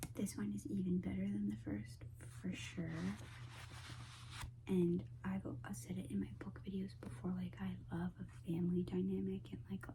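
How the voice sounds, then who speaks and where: A woman whispers, soft-spoken, at a moderate pace. Vocal fry shows in her voice. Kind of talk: ASMR book haul talk to camera. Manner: soft-spoken, whispery.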